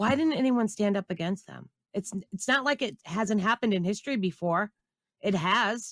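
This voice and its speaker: In a very clean recording with a silent background and a dry, close sound with no echo, a woman talks in an ordinary speaking voice at medium pitch and a moderate pace, with ordinary pitch variation. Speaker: guest panelist. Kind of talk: political talk show.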